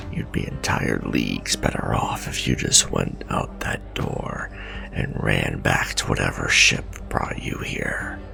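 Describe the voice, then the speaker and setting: A man uses a put-on character voice at a fairly slow pace. Loud music plays in the background. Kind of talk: audio drama roleplay. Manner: bitter, world-weary.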